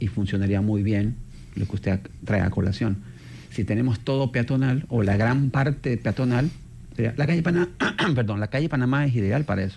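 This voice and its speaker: A man with a medium-pitched, dark, mellow, somewhat breathy voice talks at a fairly quick pace with ordinary pitch variation and very even loudness. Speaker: urban mobility expert. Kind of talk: radio interview.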